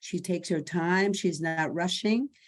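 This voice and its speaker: A woman with an unremarkable speaking voice talks at a fairly slow pace in a fairly low pitch with ordinary pitch variation, on a very clean recording with a silent background. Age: 60s. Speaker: salon client, communications specialist. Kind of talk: interview.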